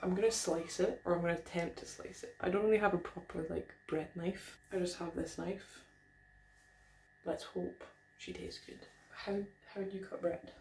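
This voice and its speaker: The speaker has a slight Scottish accent. The pace is moderate. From Scotland, Aberdeen. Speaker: food vlogger, PhD student. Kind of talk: casual vlog talk to camera. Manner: chatty, lively.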